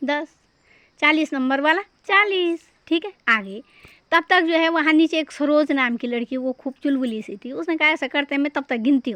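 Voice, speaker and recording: Recorded dry and close with no echo against a quiet background, a woman has a high pitch, a bright, sharp tone and ordinary pitch variation. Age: 60s. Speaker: teacher. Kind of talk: storytelling math lesson.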